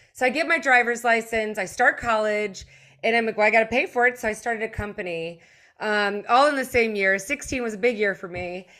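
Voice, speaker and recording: Fairly quick and fairly high-pitched, a woman's voice comes through with a bright, sharp tone on a very clean recording with a silent background. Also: ordinary pitch variation. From Germany, moved to the US as a child. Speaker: behavior analyst and tech CEO, former litigator. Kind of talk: interview conversation.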